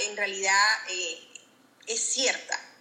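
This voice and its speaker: A woman speaks at a fairly high pitch over noticeable background noise. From Venezuela. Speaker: insurance advisor, former house cleaner. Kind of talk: interview.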